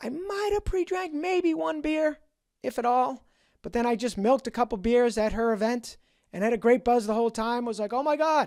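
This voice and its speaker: A man with a Boston accent speaks at an extremely high pitch and a moderate pace, his intonation lively. The recording is very clean, with a silent background. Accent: Boston accent, somewhat noticeable. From New England, Boston. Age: 50s. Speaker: sobriety podcaster. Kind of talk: personal storytelling monologue.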